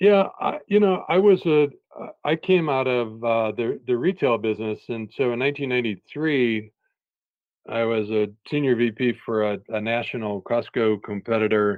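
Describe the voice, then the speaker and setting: A man with an American accent has an ordinary speaking voice at a medium pitch. He talks at a moderate pace with lively intonation. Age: 50s. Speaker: education author and former school superintendent. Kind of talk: podcast interview.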